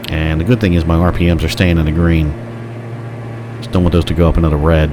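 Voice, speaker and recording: A man with a very deep, low pitch, a very fast pace, and fairly even intonation, amid noticeable background noise and audible room echo. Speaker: flight simulator streamer. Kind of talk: gameplay commentary. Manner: casual, chatty.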